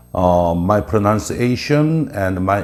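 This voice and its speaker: Over noticeable background noise and audible room echo, a man with a Korean accent talks at a fairly slow pace with lively intonation. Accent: Korean accent, non-native English. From South Korea. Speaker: presenter explaining Korea. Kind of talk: informal lecture. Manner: halting with many filler uhs.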